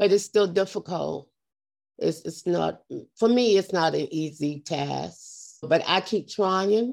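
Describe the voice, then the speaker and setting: A woman of medium pitch speaks with vocal fry at a very slow pace. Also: ordinary pitch variation, very clean recording, silent background. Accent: American. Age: old. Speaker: retired case worker and senior swimmer. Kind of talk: interview.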